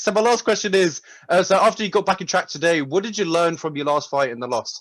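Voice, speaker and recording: Speaking in a southern English accent, a man goes at a very fast pace. His pitch is high and his intonation lively. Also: quiet background. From London, England. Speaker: interviewer. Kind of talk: press conference questions.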